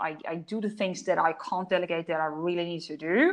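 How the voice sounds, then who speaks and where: A woman speaks with a German accent. Her pitch is fairly low, and the background is quiet. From Germany, Polish parents. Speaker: business coach and author. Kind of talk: interview. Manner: animated.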